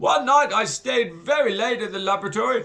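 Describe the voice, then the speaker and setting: A man does a wheezy put-on character voice. It sits at an extremely high pitch. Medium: read story. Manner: wheezing, gloating.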